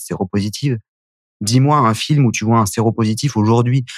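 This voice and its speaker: A man with a plain, everyday voice talks at a moderate pace and a medium pitch, his intonation fairly even. The sound is dry and close, with no echo. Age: 30s. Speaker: HIV activist, association founder. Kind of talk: testimony.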